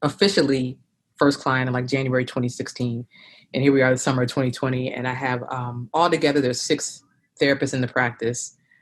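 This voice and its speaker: In a Philadelphia accent, a woman speaks at a very fast pace with fairly even intonation. Her voice sits very deep and low. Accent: Philadelphia-area American. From South Jersey, near Philadelphia. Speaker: therapist and practice owner. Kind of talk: interview.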